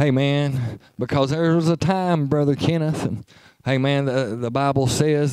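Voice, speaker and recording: In an Appalachian accent, a man talks at a fairly slow pace and fairly high pitch with ordinary pitch variation. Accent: Appalachian Kentucky. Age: 40s. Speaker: preacher. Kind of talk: sermon. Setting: church.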